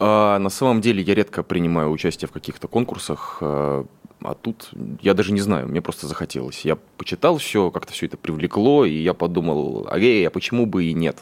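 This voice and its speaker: The intonation is lively, with noticeable background noise. The sound is dry and close with no echo. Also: man, very deep, low pitch for a man, moderate pace. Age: 30s. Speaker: stage actor and scriptwriter. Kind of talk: radio interview. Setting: studio.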